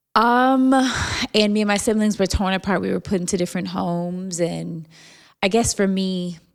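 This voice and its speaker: On a very clean recording with a silent background, a woman with a normal speaking voice, a fairly low pitch and an American accent talks at a moderate pace. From Jacksonville, Florida. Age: 40s. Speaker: podcaster and foster care advocate. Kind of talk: interview.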